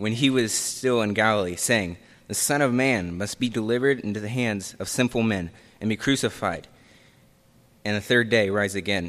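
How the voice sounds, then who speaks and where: Here a man talks at a moderate pace in a normal speaking voice. His pitch is fairly low, with ordinary pitch variation. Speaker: scripture reader. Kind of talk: reading aloud. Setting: church.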